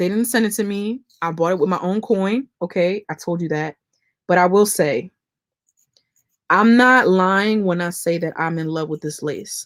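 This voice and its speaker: A woman talks at a moderate pace in a medium pitch with ordinary pitch variation and a plain, everyday voice. The recording is very clean, with a silent background. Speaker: beauty YouTuber. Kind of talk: live-stream tutorial and chat. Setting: live stream. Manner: casual, chatty.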